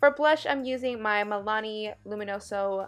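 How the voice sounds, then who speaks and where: A woman with ordinary pitch variation, music in the background. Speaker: beauty vlogger. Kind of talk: makeup tutorial voiceover.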